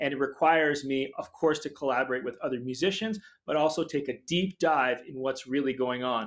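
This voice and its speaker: With an American accent, a man talks at a fairly quick pace and fairly high pitch in an unremarkable speaking voice with ordinary pitch variation. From Boston area, Massachusetts. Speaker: pianist and film composer. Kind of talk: interview.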